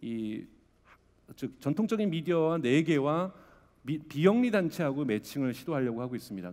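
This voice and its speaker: This man talks at a fairly quick pace, his fairly high voice carrying a dark, mellow tone and lively intonation. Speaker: conference speaker, media startup investor. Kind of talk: conference talk. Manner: fast.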